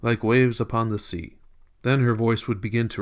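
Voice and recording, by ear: Someone reading aloud in a natural voice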